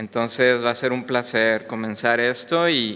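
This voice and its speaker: A man's medium-pitched voice with a bright, sharp tone and a slight Mexican accent, at a very slow pace. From Mexico. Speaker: visiting preacher. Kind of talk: sermon. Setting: church. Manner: hesitant, many fillers.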